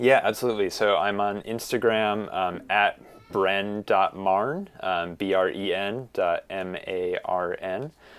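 Music plays in the background. The speaker goes at a very slow pace with fairly even intonation. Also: man, fairly low pitch for a man. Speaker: tarot deck creator; designer. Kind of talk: casual interview.

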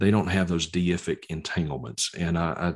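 Against a quiet background, a man speaks with a very deep, low pitch in a Southern US accent. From Mississippi, US South. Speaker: evangelist and Bible teacher. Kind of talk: podcast interview.

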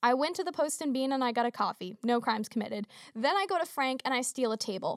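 Speech in an American accent comes at a very fast pace with lively intonation and a dry, close sound with no echo. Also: woman, high pitch for a woman, very even loudness. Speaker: student podcast host. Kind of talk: solo legal explainer podcast. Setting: podcast studio. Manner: casual, chatty.

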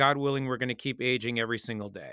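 This man's voice sits at a medium pitch, with a bright, sharp tone and a dry, close sound with no echo. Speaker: rabbi podcast host. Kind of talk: interview conversation.

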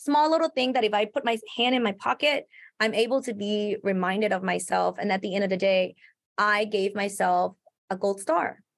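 With a Thai accent, a woman talks at a moderate pace in a medium pitch with ordinary pitch variation. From Thailand. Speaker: salon owner and entrepreneur. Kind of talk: casual interview.

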